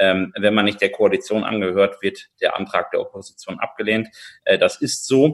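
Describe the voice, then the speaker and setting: The background stays quiet as a man talks at a moderate speed. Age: 20s. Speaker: politician. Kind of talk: interview. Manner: halting, many filler sounds.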